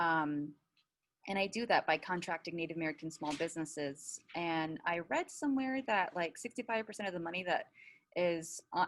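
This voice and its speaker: Fairly low in pitch, a woman speaks at a fairly quick pace with ordinary pitch variation. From Navajo Nation, US Southwest. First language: Navajo. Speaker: business owner. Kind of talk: panel discussion. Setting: webinar video call.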